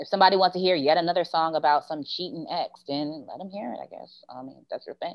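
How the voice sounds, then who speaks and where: Her loudness swinging widely, a woman speaks at a very fast pace. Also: ordinary pitch variation. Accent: American. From Baltimore, US. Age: 40s. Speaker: podcast guest, former music TV employee. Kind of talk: casual chat.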